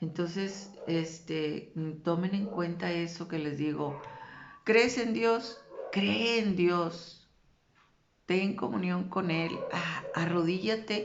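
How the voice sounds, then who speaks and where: Talking at a very slow pace, a woman with a fairly low pitch and ordinary pitch variation is heard over noticeable background noise and audible room echo. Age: 60s. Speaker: religious vlogger. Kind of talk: religious talk.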